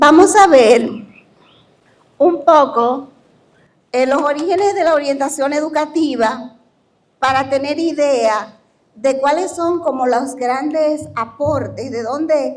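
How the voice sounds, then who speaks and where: Very slow delivery with long, frequent pauses, ordinary pitch variation and audible room echo. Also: woman, high pitch for a woman. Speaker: university professor. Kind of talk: lecture. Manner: informal, conversational.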